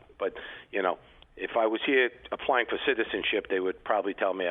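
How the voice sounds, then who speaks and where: A man talks very fast with a New York accent. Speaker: retired customs agent and basketball coach. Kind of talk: interview.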